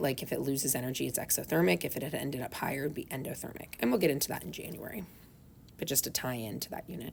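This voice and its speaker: A woman with a very deep, low pitch and vocal fry speaks at a very fast pace. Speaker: high school chemistry teacher. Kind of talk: lecture. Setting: recorded lesson video.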